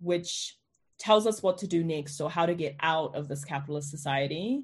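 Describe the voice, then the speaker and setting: In a New Zealand accent, a woman speaks at a moderate pace in a somewhat breathy, fairly low voice with ordinary pitch variation. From New Zealand, South Island. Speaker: journalist. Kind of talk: interview.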